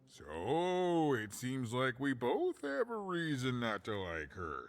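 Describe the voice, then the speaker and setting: A man puts on a character voice at medium pitch. He speaks at a fairly slow pace. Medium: video game. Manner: wry, self-deprecating, chuckling.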